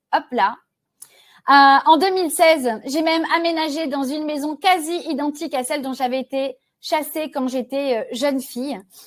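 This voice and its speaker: High female speech at a moderate tempo, its pitch varying in an ordinary way. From Réunion. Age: 40s. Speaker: sales trainer. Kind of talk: webinar presentation.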